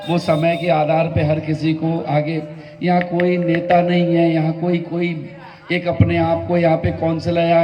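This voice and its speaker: A man with a high voice speaks at a fairly slow pace in a flat monotone, with audible room echo and noticeable background noise. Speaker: community organizer and shopkeeper. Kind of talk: public speech.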